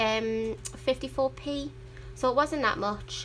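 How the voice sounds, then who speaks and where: A woman talks at a fairly slow pace with a Geordie accent. Music plays in the background. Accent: Geordie; sometimes mistaken for Welsh. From northern England, Newcastle upon Tyne. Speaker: adult colouring hobbyist YouTuber. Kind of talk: casual livestream chat. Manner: chatty, rambling with fillers.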